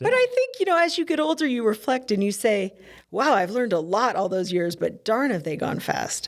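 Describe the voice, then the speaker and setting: Very wide pitch swings mark this woman's speech. Her voice sits fairly high. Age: 50s. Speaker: cardiac surgeon. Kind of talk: casual chat.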